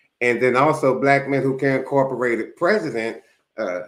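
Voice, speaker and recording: A man speaks at a moderate pace in a medium-pitched voice. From US Northeast, Philadelphia. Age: 60s. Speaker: YouTube commentator. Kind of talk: casual monologue.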